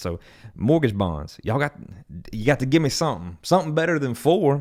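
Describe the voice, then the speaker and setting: A man speaks at a fairly quick pace with very wide swings in pitch. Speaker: mortgage loan officer. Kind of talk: market update vlog. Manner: fast.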